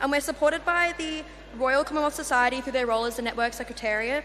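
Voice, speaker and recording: Speaking very fast in an Australian accent, a woman uses a high, raised, projected voice with ordinary pitch variation over noticeable background noise. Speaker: youth network representative. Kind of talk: conference presentation. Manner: hesitant fillers.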